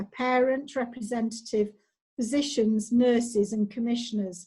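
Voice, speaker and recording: A woman with a Mancunian accent speaks at a high pitch in a dark, mellow tone at a moderate pace. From Manchester, England. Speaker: clinical data manager, former nurse. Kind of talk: online presentation.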